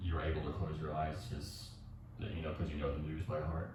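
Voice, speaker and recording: Soft-spoken and very deep in pitch, a man talks at a fairly quick pace with fairly even intonation, heard with audible room echo and noticeable background noise. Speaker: yoga instructor. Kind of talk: tutorial. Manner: halting.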